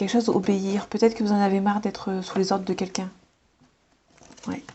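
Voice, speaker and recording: A woman's somewhat breathy voice, fairly quick and flat in a monotone. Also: medium pitch for a woman. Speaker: tarot card reader. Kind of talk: tarot reading. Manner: fast; hesitant.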